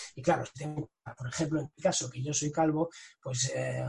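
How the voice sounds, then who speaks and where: He has an unremarkable speaking voice with ordinary pitch variation. His pitch sits fairly high for a man, and his pace is moderate. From Catalonia, Spain (Tarragona coast). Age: 40s. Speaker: sales director and author. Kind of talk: interview.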